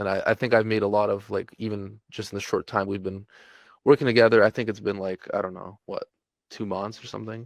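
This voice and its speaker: In a dry, close sound with no echo, a man speaks at a fairly low pitch with monotone, flat intonation. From California. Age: 20s. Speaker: e-commerce business owner. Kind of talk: testimonial interview. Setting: call. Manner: halting, many fillers.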